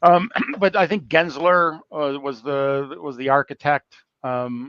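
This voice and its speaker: A man with an American accent speaks at a very slow pace in a fairly high pitch with ordinary pitch variation. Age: 60s. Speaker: construction technology business development manager. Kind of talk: casual interview on a live call. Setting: online call. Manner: halting, many fillers and restarts.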